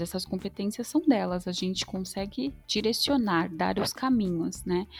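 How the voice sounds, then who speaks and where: With music playing behind her, a woman talks at a moderate pace. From São Paulo, Brazil. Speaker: HR manager. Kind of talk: interview.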